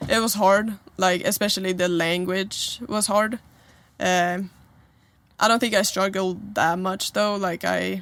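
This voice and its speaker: A woman with a Swedish accent, medium-pitched, at a fairly slow pace and with fairly even intonation. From Sweden, Stockholm. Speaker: college basketball player. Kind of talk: interview. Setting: in a trailer.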